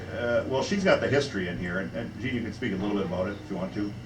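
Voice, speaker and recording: Amid noticeable background noise, a fairly low-pitched man with an American accent talks at a very fast pace with lively intonation. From Minnesota. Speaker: website founder presenting his site; presenter. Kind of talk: live presentation to an audience. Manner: casual, halting with fillers. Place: bar. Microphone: camera far.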